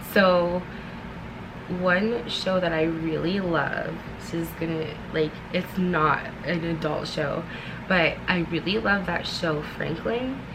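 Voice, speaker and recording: A soft-spoken woman talks at a very slow pace, pausing long and often. Noticeable background noise and audible room echo fill the recording. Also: fairly low pitch for a woman. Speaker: vlogger. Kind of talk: casual chat. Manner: halting.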